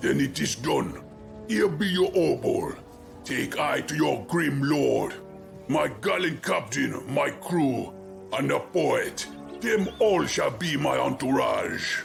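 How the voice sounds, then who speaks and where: A man does a put-on character voice at a fairly slow pace while clear music plays in the background. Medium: machinima. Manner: quirky ungrammatical phrasing.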